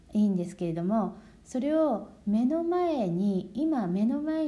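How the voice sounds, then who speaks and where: A woman speaks very slowly in a dark, mellow tone with very wide pitch swings, and audible room echo surrounds her voice. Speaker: Japanese language teacher. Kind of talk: lesson for learners. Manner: slow, clear speech.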